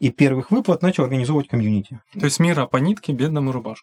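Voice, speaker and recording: Dark and mellow, the tone comes through. No echo is heard, and the sound stays dry and close. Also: man. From Ukraine, Luhansk. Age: 40s. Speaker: game designer, former economics lecturer. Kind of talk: podcast interview.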